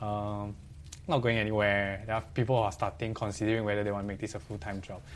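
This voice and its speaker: Speaking very fast with a Singaporean accent, a man uses a fairly low pitch and ordinary pitch variation. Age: 30s. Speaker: talk show host. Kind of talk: interview.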